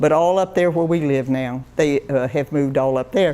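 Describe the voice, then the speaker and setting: Speaking with a Florida accent, a woman has a very deep, low pitch, ordinary pitch variation and a moderate pace. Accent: rural US Southern (Florida). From Florida, Indiantown area. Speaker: local elder sharing memories. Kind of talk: oral history talk. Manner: halting, with many restarts.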